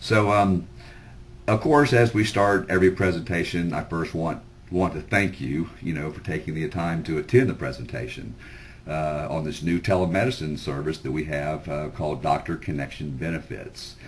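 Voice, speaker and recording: The man's voice is very deep and low with vocal fry. He keeps a moderate pace and ordinary pitch variation. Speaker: sales presenter. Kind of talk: sales pitch webinar. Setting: webinar. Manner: loud; informal, filler-heavy.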